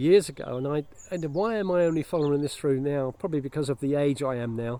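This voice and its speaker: A man with an English accent, fairly high pitch, ordinary pitch variation and a very fast pace, amid noticeable background noise. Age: 60s. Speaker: vlogger. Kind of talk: casual vlog monologue. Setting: outdoors. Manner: halting, many fillers and restarts.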